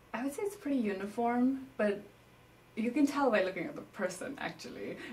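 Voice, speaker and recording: Her pitch is high and swings very widely. The woman speaks at a fairly quick pace over noticeable background noise. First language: Newari. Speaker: interviewee, native speaker of the language discussed. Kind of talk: interview.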